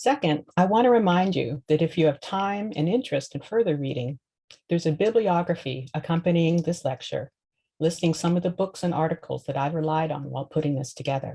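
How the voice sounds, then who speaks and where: A woman's fairly low, dark, mellow voice, somewhat breathy, fairly quick, with lively intonation. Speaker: law professor. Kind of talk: lecture. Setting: recorded video lecture with screen share. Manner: fast; read from script, occasional stumbles.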